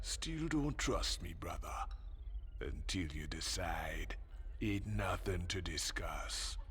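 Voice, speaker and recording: Using a put-on character voice, a man speaks at a very slow pace over clear background noise. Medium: video game. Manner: calm, laconic, slightly menacing.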